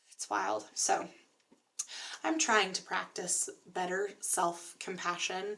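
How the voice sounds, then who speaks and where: A woman with an American accent speaks at a very slow pace in a medium pitch, with ordinary pitch variation, vocal fry, and long, frequent pauses. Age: 30s. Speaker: graduate student vlogger. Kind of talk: casual vlog monologue. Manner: filler-heavy, hesitant.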